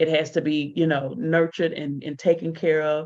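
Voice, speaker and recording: The background is quiet. A woman speaks with a fairly low pitch. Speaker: motivational speaker and mentor. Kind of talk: solo livestream talk. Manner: fast.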